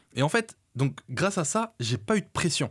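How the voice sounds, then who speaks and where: On a very clean recording with a silent background, a man speaks at a moderate pace in a somewhat breathy voice with very wide pitch swings. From France. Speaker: entrepreneur. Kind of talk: podcast interview. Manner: hesitant, filler-heavy.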